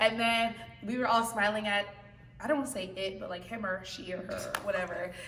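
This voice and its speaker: A woman with a fairly high voice speaks fairly quickly in an animated tone, with audible room echo and noticeable background noise. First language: not English. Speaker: choir member. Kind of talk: casual chat.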